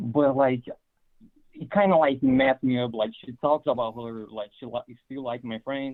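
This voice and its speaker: The loudness swings widely from moment to moment. Pitch moves in an ordinary way, with a non-native accent. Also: man, medium pitch for a man, moderate pace. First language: not English. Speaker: caller. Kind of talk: telling a personal story. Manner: halting.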